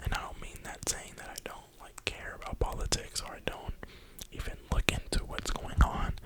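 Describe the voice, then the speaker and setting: Someone whispers at a moderate pace with an American accent, with noticeable background noise behind them. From New York (Brooklyn). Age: 20s. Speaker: ASMR creator. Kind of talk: whisper ramble. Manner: whispering.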